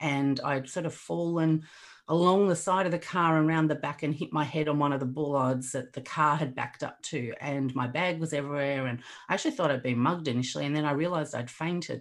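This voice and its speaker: Heard in a very clean recording with a silent background, a woman with an Australian accent speaks with a very deep, low pitch and fairly even intonation. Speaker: resilience coach. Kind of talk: casual chat.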